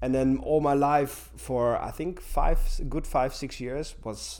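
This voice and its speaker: Audible room echo surrounds a man who talks at a very slow pace. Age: 40s. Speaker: gym teacher. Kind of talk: interview. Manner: halting. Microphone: poor sound quality in places.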